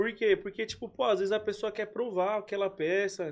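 Against a quiet background, a man with a high voice talks at a moderate pace with fairly even intonation. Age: 20s. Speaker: clothing entrepreneur. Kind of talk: casual chat.

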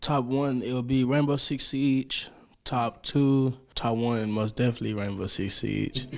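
A man with an ordinary speaking voice talks at a fairly slow pace. His medium-pitched delivery has fairly even intonation. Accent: American. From Dallas, Texas (Oak Cliff). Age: 18. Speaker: rapper and dancer. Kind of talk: casual interview.

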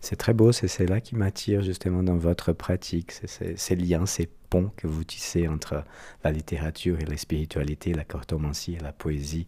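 A man with a very deep, low voice speaks at a moderate pace with fairly even intonation, somewhat breathy and dark, mellow in tone. The recording is very clean with a silent background. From Brazil. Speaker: podcast host. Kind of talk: interview. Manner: formal.

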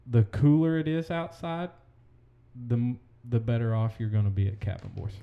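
In a dark, mellow tone at medium pitch, a man speaks at a moderate pace with lively intonation and long, frequent pauses. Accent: American. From Oklahoma. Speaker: podcast host, real estate agent. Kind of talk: casual chat.

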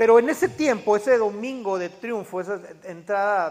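A man's animated, warm tone with ordinary pitch variation. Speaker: pastor. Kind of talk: sermon. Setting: church. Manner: animated, preacherly; joking, warm, audience call-and-response.

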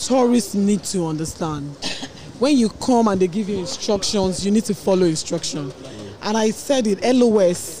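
A woman with a Nigerian accent speaks at a medium pitch and a moderate pace, her intonation lively. There is noticeable background noise. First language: Yoruba. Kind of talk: casual chat.

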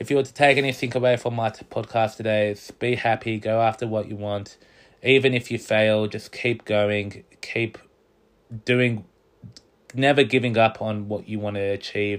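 The recording is very clean with a silent background. A man speaks at a moderate pace and medium pitch, his intonation monotone and flat. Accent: Australian. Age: 20s. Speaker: podcast host. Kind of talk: casual solo podcast monologue.

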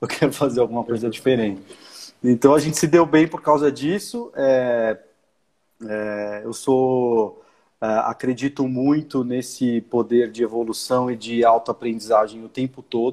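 A man's medium-pitched voice moves at a fairly slow pace, with ordinary pitch variation. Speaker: marketing director. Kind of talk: casual interview chat. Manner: hesitant, many fillers.

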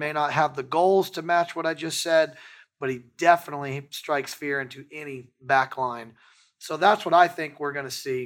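In a very clean recording with a silent background, a man with a plain, everyday voice speaks at a moderate pace with a fairly high pitch and fairly even intonation. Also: big swings in loudness. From Texas. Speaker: football fan podcast host. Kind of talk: casual chat. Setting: studio.

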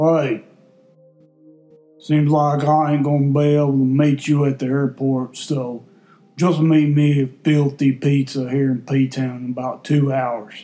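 A man puts on a character voice with a strong Southern US accent, fairly high in pitch and monotone. He speaks at a fairly slow pace with music in the background. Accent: thick Southern American.

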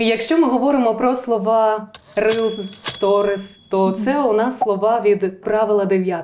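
A woman's fairly high pitch and fairly even intonation at a fairly slow pace, over noticeable background noise. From southern Ukraine, Zaporizhzhia region (Tokmak). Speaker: voice and diction coach. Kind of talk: interview.

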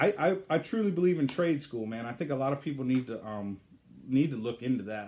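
At a fairly quick pace, a man with a medium pitch speaks in a normal speaking voice. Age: 30s. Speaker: podcast host, military service member. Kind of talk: casual interview.

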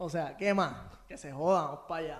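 The man's voice sits at a fairly high pitch. His intonation stays fairly even. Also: quiet background. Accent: Puerto Rican. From Puerto Rico, Bayamón. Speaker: podcast guest, social media page creator. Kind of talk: casual interview chat. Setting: in-person studio.

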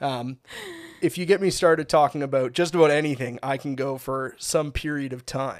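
A man with a Canadian accent talks at a moderate pace in a normal speaking voice. His pitch is fairly high and his intonation fairly even. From Ontario, Canada (Bradford area). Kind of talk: testimony.

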